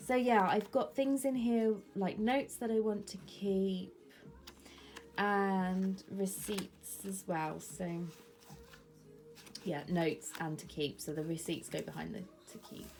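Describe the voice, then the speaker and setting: With music in the background, a woman in an English accent speaks at a very slow pace and medium pitch, with long, frequent pauses and big swings in loudness. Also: lively intonation. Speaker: planner vlogger. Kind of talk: casual show-and-tell vlog. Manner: chatty, many fillers.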